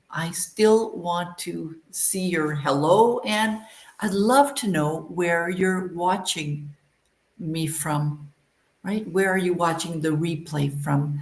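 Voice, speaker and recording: Somewhat breathy speech in a Canadian accent moves at a very slow pace. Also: woman. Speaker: English teacher. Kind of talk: live online lesson. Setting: livestream.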